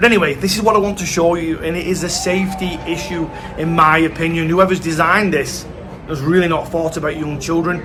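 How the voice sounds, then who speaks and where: Fairly quick speech with fairly even intonation comes through noticeable background noise and audible room echo. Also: man. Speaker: travel vlogger. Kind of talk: vlog walkthrough.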